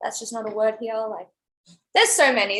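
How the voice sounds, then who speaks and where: A woman talks with an Australian accent. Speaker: college cheerleader. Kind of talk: casual interview.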